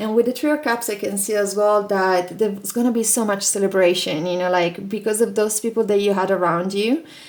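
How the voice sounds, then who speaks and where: The speech moves at a fairly quick pace with hardly any pauses. Pitch variation is ordinary. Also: woman, medium pitch for a woman. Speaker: tarot reader. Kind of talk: tarot reading video. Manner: animated.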